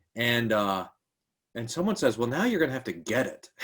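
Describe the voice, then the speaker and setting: Lively intonation marks the speech of a man with an American accent. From Texas, Kerrville. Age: 40s. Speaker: pastor. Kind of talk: interview conversation.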